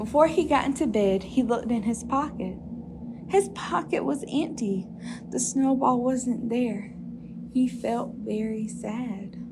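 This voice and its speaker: A woman talks at a fairly slow pace with a fairly high pitch and ordinary pitch variation. Noticeable background noise sits behind her. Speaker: storytime reader. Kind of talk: children's storybook reading aloud, bedtime-story style.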